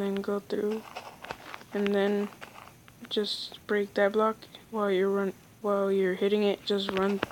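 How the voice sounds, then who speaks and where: At a fairly slow pace, a woman talks at a medium pitch over noticeable background noise. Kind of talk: casual gameplay tutorial narration. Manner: casual, informal.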